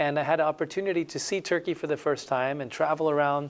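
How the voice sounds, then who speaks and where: A man speaks with a Spanish accent at a fairly quick pace. His pitch is fairly high, and his intonation is fairly even. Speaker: missionary. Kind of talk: interview testimony.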